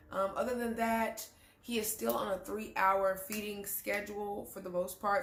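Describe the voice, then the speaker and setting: At a moderate pace, a woman speaks amid audible room echo. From Texas. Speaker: YouTuber, new mother. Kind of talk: casual vlog talk. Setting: home, front-facing camera. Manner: loud.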